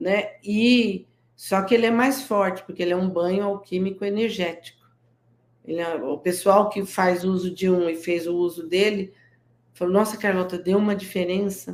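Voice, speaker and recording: A woman with a normal speaking voice, medium pitch, fairly even intonation and a moderate pace. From interior of São Paulo state, Brazil. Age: 60s. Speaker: guest entrepreneur selling natural products. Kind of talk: interview on a live stream. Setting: live stream.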